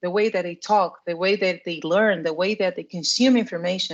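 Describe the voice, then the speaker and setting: A woman speaks with a Portuguese accent. Her pitch sits at a medium level. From Portugal. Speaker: product marketing manager in education tech. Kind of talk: interview. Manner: halting, with frequent repetitions.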